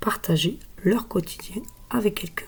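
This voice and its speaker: The voice is soft-spoken and somewhat breathy, with a dark, mellow tone. Its pitch varies in an ordinary way. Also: woman. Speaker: tarot card reader. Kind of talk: tarot reading. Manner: hesitant, with frequent fillers.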